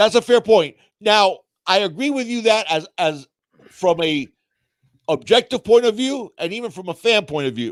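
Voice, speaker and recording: In a dry, close sound with no echo, a man with a high pitch talks in an animated tone with lively intonation and big swings in loudness, at a moderate pace broken by long, frequent pauses. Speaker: sports podcast co-host. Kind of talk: casual live-stream sports talk. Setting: live stream.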